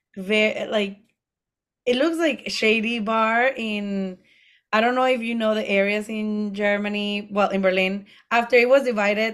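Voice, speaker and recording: A woman with a Spanish accent speaks at a fairly slow pace in a fairly high pitch with fairly even intonation, on a very clean recording with a silent background. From Mexico. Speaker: drag queen and comedian. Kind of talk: casual chat recapping a TV show.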